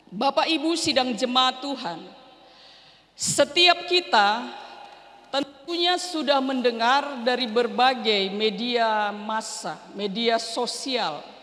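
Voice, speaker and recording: A woman's high-pitched, very slow speech with lively intonation and audible room echo. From North Sumatra, Berastagi (Karo). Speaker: pastor. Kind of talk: sermon. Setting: church.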